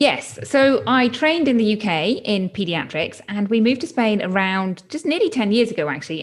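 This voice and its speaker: Speaking in a British accent, a woman uses a medium pitch and lively intonation. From UK. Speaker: pediatrician turned health coach. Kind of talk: interview.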